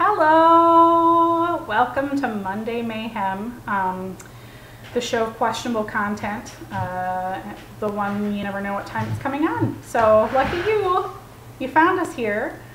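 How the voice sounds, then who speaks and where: Mumbling from a woman at fairly high pitch with very wide pitch swings, over noticeable background noise. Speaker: mother and home cook. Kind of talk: casual home cooking video talk. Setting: home kitchen with loud background noise. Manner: mumbled.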